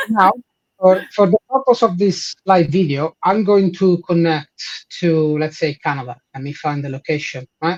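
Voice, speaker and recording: With an Italian accent, a man speaks at a high pitch, the sound dry and close with no echo. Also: ordinary pitch variation, moderate pace. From Italy. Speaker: head of support and engineering. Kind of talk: live product demo.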